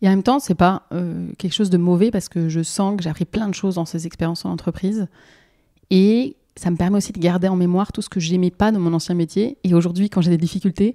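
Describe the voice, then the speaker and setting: A woman's dark, mellow tone, with a dry, close sound with no echo, on a very clean recording with a silent background. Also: medium pitch for a woman, ordinary pitch variation, fairly quick pace. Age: 30s. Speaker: market gardener. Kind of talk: testimony.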